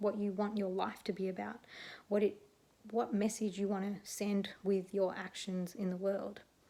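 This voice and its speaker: Soft-spoken and monotone, a woman with an Australian accent keeps to a medium pitch with flat intonation. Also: moderate pace. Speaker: neuropsychologist; animal activism advocate. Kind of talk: casual talk to camera. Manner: quiet, soft-spoken.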